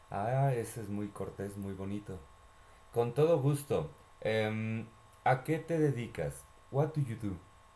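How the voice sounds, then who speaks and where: A man's medium-pitched voice with a Mexican accent, dark, mellow tone and lively intonation, at a moderate pace broken by long, frequent pauses. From Mexico, Mexico City. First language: Spanish. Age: 30s. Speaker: language exchange partner. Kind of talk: casual chat.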